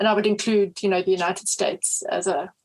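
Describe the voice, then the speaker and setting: Speaking in a South African accent, a woman delivers her words at a fairly quick pace with a medium pitch and monotone, flat intonation. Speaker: history professor. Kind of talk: interview.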